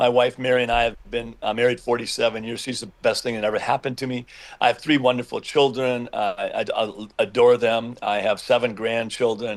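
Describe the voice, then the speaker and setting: A man with an American accent, medium pitch and monotone, flat intonation, at a fairly quick pace with hardly any pauses. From US Midwest, Minnesota. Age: 70s. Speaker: politician and family doctor. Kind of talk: interview.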